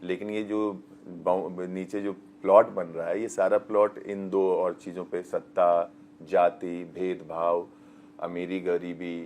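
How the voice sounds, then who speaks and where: A man's very deep, low voice keeps a monotone, flat intonation. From rural Bihar. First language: Magahi/Bajjika/Angika mix (speaking Hindi). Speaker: actor. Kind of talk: interview. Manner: halting.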